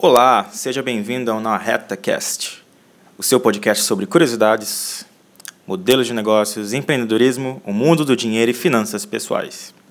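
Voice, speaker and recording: An unremarkable speaking voice at a moderate pace. Its pitch varies in an ordinary way. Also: man, medium pitch for a man. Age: 20s. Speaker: podcast host, university student. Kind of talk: solo podcast introduction.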